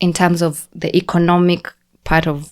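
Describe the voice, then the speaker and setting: This woman has a Kenyan accent and a fairly low pitch. The recording is very clean, with a silent background. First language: Kikuyu. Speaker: podcast guest, immigrant. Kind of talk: casual chat.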